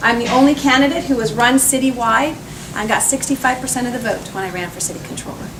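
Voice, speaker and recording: Noticeable background noise and audible room echo surround a woman with an American accent. She talks at a very fast pace and a high pitch, with big swings in loudness. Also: ordinary pitch variation. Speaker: politician. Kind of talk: campaign speech. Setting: cocktail party with audience.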